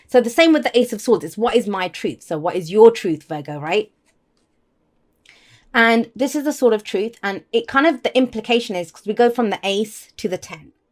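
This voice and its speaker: A woman puts on a character voice, raspy and fairly high, with lively intonation. She talks at a fairly quick pace, her loudness swinging widely. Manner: fast-paced.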